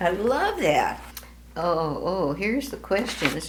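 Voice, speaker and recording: Very slow speech comes through with noticeable background noise behind it. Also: woman. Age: 80s+. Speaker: grandmother. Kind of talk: reading aloud with casual comments.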